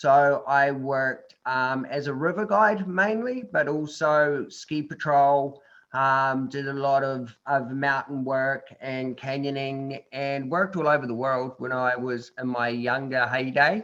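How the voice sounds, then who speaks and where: A fairly high-pitched man with a New Zealand accent, at a fairly slow pace with hardly any pauses. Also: ordinary pitch variation, quiet background. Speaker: adventure tourism company founder, tetraplegic. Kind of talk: interview talk to online group. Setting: video call. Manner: casual, hesitant with fillers.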